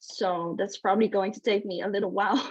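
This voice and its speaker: A woman is speaking. She talks with a Dutch accent. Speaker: author. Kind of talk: casual chat. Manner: halting.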